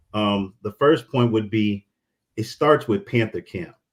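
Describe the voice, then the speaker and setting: A man in a normal speaking voice talks at a medium pitch and a moderate pace. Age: 30s. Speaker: university alumnus panelist. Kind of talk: town hall panel discussion.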